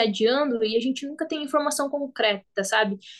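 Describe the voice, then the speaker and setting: At a moderate pace, a woman with a high pitch speaks with fairly even intonation against a quiet background. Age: 20s. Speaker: professional footballer. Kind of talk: interview.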